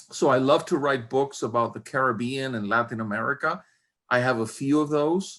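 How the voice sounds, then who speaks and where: This man has an ordinary speaking voice, pitched fairly high and delivered at a moderate pace. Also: very clean recording, silent background. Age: 60s. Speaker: university professor and historian. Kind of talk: interview.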